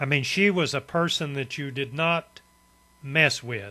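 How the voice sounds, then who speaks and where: This man speaks with an Appalachian accent at a fairly slow pace. His tone is bright and sharp, with ordinary pitch variation. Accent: Southern Appalachian US. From East Tennessee, US. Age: 70s. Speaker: storyteller, vlogger. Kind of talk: personal reminiscence monologue. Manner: relaxed, conversational with fillers.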